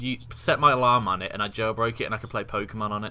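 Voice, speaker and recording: Speaking with an English accent at a very fast pace, a man with a fairly low pitch has a bright, sharp tone and fairly even intonation. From England. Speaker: university student, podcast co-host. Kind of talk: casual chat.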